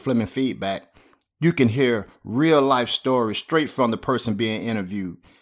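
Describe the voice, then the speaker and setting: With a Southern US accent, a man talks at a moderate pace in a medium pitch. His pitch variation is ordinary, and the recording is very clean with a silent background. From US South, Spartanburg, South Carolina. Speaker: podcast host and pastor. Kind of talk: scripted monologue.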